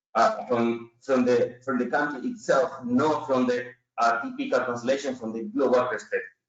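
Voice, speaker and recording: With a Chilean Spanish accent, a man speaks at medium pitch. His pitch variation is ordinary. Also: moderate pace. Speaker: business consultant, company CEO. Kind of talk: webinar presentation. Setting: online webinar. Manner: halting, with many fillers.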